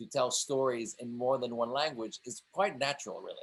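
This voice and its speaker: A man speaks at medium pitch. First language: multilingual: English, French, Italian. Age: 40s. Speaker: film director. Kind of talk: interview conversation.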